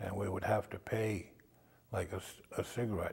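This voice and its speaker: A man's fairly low, somewhat breathy voice in a flat monotone, at a moderate pace, in a very clean recording with a silent background. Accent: American. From Maine, US (Indian Township, Passamaquoddy community). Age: 70s. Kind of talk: oral history interview. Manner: hesitant, many fillers.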